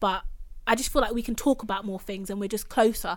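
A woman with a London accent talks at a very fast pace, her pitch medium with ordinary variation. The recording is very clean, with a silent background. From England, Caribbean heritage. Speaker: podcast host. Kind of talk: casual chat.

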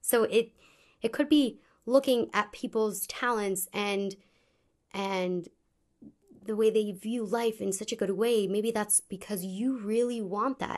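A fairly high-pitched woman with an American accent, speaking fairly slowly with fairly even intonation and long, frequent pauses against a quiet background. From US, Pittsburgh. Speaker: preschool teacher. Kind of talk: casual interview discussion. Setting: recorded on location in Israel.

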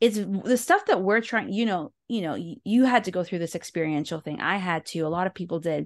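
A woman with an unremarkable speaking voice and medium pitch talks at a fairly quick pace with hardly any pauses. The sound is dry and close, with no echo. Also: ordinary pitch variation. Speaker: podcast host interviewer. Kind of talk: casual interview conversation.

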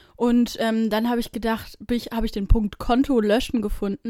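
Her tone is dark and mellow, pitched fairly high. The woman speaks at a fairly quick pace. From Braunschweig, Germany. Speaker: podcast co-host. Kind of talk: casual chat. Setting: in person, in a bedroom.

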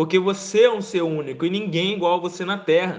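Noticeable background noise is present behind the speaker. The man's pitch is high, with ordinary variation. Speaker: marketing podcast host. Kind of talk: solo tips monologue. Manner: halting, repeats words.

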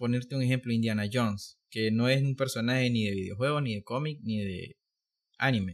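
An ordinary speaking voice, a man at medium pitch with fairly even intonation and a fairly quick pace. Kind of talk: casual chat.

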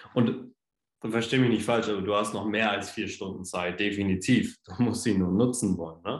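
A man with an ordinary speaking voice, fairly low in pitch, at a moderate pace with fairly even intonation. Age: 20s. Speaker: podcast guest. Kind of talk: casual chat.

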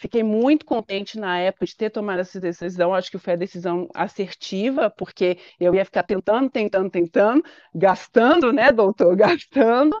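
With a quiet background and a dry, close sound with no echo, a woman talks at a moderate pace. She has a normal speaking voice at a medium pitch, with lively intonation. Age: 30s. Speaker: patient sharing her fertility treatment story. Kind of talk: interview testimony.

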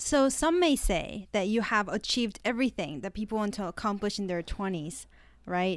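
A woman with an unremarkable speaking voice talks at a moderate pace and medium pitch, recorded very cleanly against a silent background. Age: 20s. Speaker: podcast host. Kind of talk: interview.

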